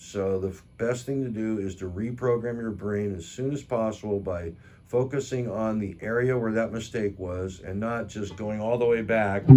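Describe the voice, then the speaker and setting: Audible room echo surrounds a man speaking at a moderate pace and fairly low pitch, with fairly even intonation and hardly any pauses. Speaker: guitar teacher. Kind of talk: tutorial.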